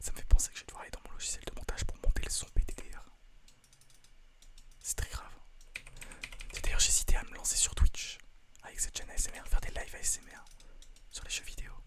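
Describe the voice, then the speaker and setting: A man whispers at a very fast pace, with big swings in loudness and long, frequent pauses. Noticeable background noise runs underneath. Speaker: ASMR video creator and gamer. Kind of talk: casual talk to camera. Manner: fast, casual, joking.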